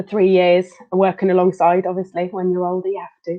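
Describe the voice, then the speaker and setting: A woman with a Belgian accent talks at medium pitch and a moderate pace, her intonation flat and monotone. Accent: European, Belgian. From Belgium, Leuven. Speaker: occupational therapist. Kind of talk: interview.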